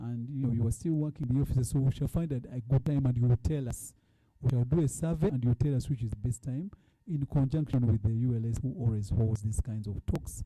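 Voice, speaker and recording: Talking very fast, a man uses ordinary pitch variation in a dark, mellow, somewhat breathy tone. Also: medium pitch for a man. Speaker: fund board chair. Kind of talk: report presentation. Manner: halting.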